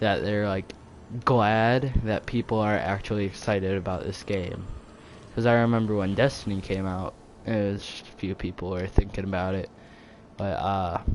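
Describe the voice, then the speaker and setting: At a moderate pace, a man talks with a fairly low pitch, fairly even intonation and big swings in loudness. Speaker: gaming youtuber. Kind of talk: casual vlog talk. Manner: hesitant, many fillers; quiet.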